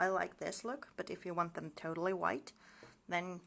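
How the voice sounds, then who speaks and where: A woman speaks with a fairly low pitch and vocal fry. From Finland. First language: Finnish. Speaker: mixed media artist. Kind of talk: craft tutorial. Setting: Facebook live stream. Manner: casual, chatty.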